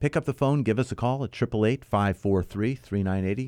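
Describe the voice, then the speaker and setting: A man's dark, mellow, upbeat voice at a fairly quick pace, with ordinary pitch variation and a dry, close sound with no echo. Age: 50s. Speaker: radio host and mortgage company CEO. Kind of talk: weekly real estate call-in radio show, host monologue; radio ad pitch urging listeners to phone in, reading out the toll-free number. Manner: upbeat, folksy, talking straight to the listener; brisk, emphatic call-to-action delivery, repeating the phone number.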